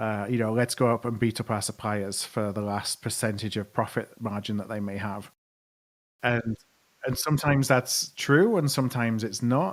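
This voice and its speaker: Here a man with an American accent speaks at a moderate pace and a medium pitch, with ordinary pitch variation. The recording is very clean, with a silent background. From northern England, Yorkshire (Skipton). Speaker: procurement consultant and podcaster. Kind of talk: podcast interview.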